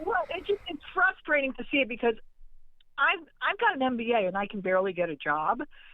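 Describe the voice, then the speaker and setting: Amid noticeable background noise, a woman speaks fairly quickly in a high pitch with very wide pitch swings. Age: 60s. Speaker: caller. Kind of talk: call-in conversation. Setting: phone call. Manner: halting.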